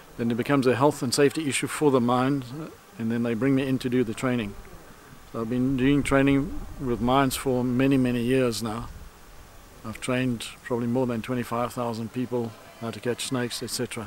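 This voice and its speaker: In a dry sound with no echo and light background noise, a man speaks at a moderate pace with monotone, flat intonation. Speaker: snake handling trainer. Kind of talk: casual piece to camera. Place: street.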